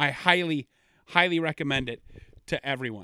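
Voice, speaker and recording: In an ordinary speaking voice pitched fairly high, a man talks at a moderate pace with lively intonation, recorded very clean with a silent background and a dry, close sound with no echo. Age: 20s. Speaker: podcast host. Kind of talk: casual solo podcast monologue. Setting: home basement studio.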